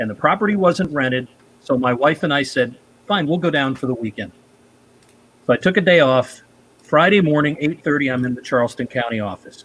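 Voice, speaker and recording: At a fairly quick pace, a man with a medium pitch talks with lively intonation. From upstate New York, Rochester. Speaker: amateur radio show host. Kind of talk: casual chat, storytelling.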